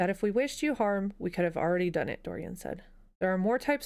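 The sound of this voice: Lively intonation runs through this clip. It is delivered in an unforced reading voice.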